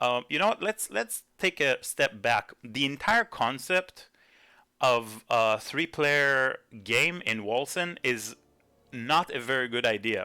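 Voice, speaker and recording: In a very clean, dry and close recording with a silent background and no echo, a man speaks at medium pitch with a bright, sharp tone and ordinary pitch variation. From Israel. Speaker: gaming YouTuber. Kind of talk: commentary video. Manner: hesitant, many fillers.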